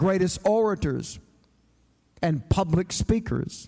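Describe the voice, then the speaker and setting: A man with a Southern US accent speaks at a high pitch in a dark, mellow tone. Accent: Southern US (Georgia). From US South, Atlanta, Georgia. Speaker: preacher. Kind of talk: sermon.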